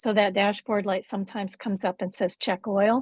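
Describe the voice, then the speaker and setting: The woman's voice is medium in pitch and somewhat breathy, at a moderate pace. The sound is dry and close, with no echo. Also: quiet background. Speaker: workshop facilitator. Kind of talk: workshop teaching.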